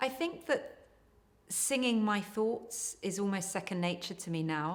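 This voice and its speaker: A woman at a moderate pace. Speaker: singer and writer. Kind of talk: interview talk about their work. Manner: flat.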